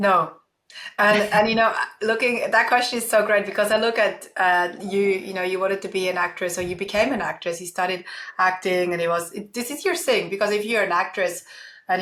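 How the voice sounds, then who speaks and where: A woman with a Swiss accent at medium pitch, bright, sharp tone, fairly even intonation and fairly quick pace. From Switzerland, small village. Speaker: keynote speaker and entrepreneur. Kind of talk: interview.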